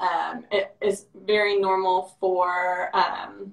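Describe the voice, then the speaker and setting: A woman speaks at a medium pitch. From Ohio, US. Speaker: parent of a child with cleft. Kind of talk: live stream interview. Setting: Instagram live video call. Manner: casual with many fillers.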